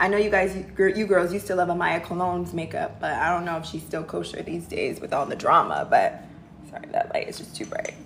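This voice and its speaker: A woman with an American accent talks fairly quickly amid noticeable background noise. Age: 30s. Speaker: livestream host, career and lifestyle advisor. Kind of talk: casual livestream Q&A. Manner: animated.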